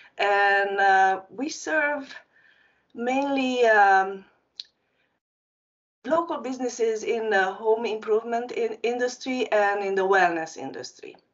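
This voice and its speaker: Speaking very slowly with long, frequent pauses, a woman with a Hungarian accent uses a fairly high pitch and ordinary pitch variation. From Transylvania, Romania (Hungarian community). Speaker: marketing agency founder. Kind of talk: panel discussion.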